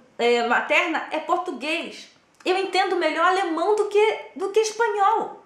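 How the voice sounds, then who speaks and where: In a room with audible echo, a woman speaks in an animated tone. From Brazil. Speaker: former Jehovah's Witness. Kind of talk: personal testimony.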